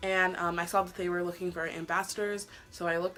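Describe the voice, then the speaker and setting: Over noticeable background noise, a woman talks at a very fast pace in a medium pitch. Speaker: beauty vlogger. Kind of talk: casual chat.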